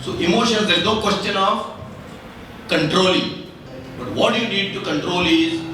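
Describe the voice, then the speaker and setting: A man with a high voice talks at a moderate pace, using lively intonation and long, frequent pauses. The room echo is audible, and background noise is noticeable. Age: 60s. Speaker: author. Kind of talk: interview. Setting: literature festival lounge with audience.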